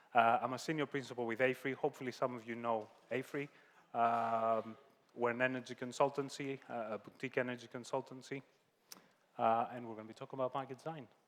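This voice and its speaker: A man with a Greek accent talks at a very fast pace, his medium-pitched voice flat and monotone while the loudness swings widely. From Greece. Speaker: energy consultant, keynote speaker. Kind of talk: panel introduction.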